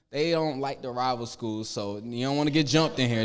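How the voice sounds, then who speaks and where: Heard with audible room echo, a man speaks in an animated tone with ordinary pitch variation. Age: 20s. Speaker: panel moderator, student business owner. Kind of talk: panel moderation.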